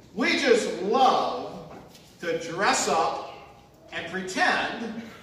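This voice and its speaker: Strong room echo surrounds a man's voice. Light background noise is present too. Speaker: pastor. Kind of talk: sermon. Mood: humorous storytelling. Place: church.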